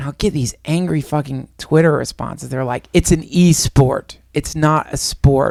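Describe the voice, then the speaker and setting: A man speaks at a moderate pace. He hardly pauses at all. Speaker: podcast co-host. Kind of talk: casual chat. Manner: animated.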